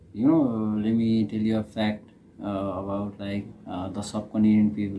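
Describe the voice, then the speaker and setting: Speaking with a Nepali accent, a man has a fairly low pitch and a dark, mellow tone. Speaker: reaction video creator. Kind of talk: casual reaction commentary. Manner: halting, many fillers.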